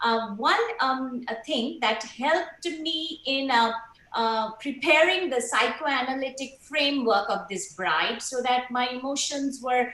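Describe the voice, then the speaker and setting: Over noticeable background noise and audible room echo, a woman uses a raised, projected voice at a high pitch, with lively intonation and a fairly slow pace. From India, Kolkata. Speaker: stage actor. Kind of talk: panel talk. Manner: hesitant, many fillers.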